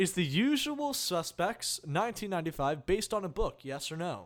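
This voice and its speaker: A man with an American accent speaks at a high pitch with very wide pitch swings on a very clean recording with a silent background. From New Jersey. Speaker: podcast co-host. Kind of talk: casual chat.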